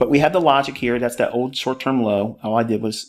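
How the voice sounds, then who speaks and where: This man talks at a fairly quick pace in a normal speaking voice, his intonation fairly even. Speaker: trading educator. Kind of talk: tutorial.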